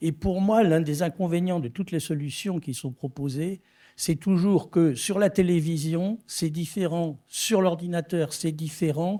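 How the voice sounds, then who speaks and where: With a dark, mellow tone, a man speaks fairly slowly at a high pitch with ordinary pitch variation. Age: 70s. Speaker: filmmaker and technology developer. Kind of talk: conference presentation.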